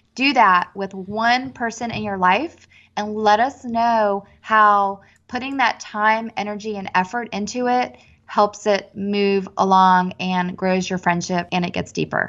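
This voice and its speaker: Over a quiet background, a woman speaks at a fairly slow pace and medium pitch with fairly even intonation. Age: 40s. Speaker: podcast host, author, cancer survivor. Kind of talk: casual chat.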